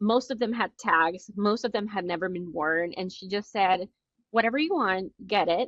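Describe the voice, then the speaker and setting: Speaking with a Spanish accent, a woman uses a medium pitch and ordinary pitch variation. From Nicaragua. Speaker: entrepreneur. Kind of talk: interview. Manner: halting.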